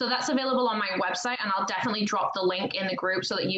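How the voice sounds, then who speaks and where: A woman at a very fast pace with fairly even intonation, over noticeable background noise. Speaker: wealth coach. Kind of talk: interview.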